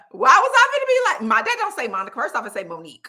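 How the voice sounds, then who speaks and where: A woman speaks in an animated tone with an American accent. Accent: Southern US, stronger when relaxed. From US South, Birmingham, Alabama. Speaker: life coach and channel host. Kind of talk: live stream chat. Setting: live video stream.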